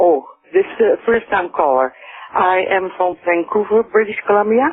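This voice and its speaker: A woman with a Dutch accent, medium pitch, lively intonation, very even loudness and a moderate pace. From Netherlands. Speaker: caller. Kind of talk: phone call to radio show. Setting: phone call. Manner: hesitant.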